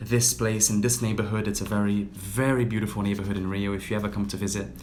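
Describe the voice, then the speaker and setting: In a British accent, a man speaks very fast with fairly low pitch and fairly even intonation, with audible room echo around him. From Brazil (Rio de Janeiro). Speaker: yoga teacher. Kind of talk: casual livestream talk.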